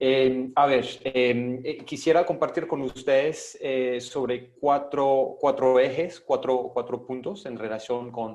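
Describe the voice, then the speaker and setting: This man has a medium-pitched voice and a non-native accent. He talks very slowly with hardly any pauses and fairly even intonation. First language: not Spanish (speaking Spanish). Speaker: international human rights advocate. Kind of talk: panel presentation. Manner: halting, many repetitions.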